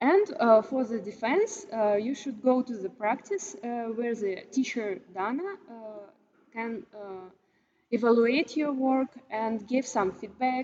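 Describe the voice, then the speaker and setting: A woman's dark, mellow tone at a fairly high pitch, with ordinary pitch variation and a fairly slow pace. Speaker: university lecturer. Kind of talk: lecture. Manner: halting, many filler sounds.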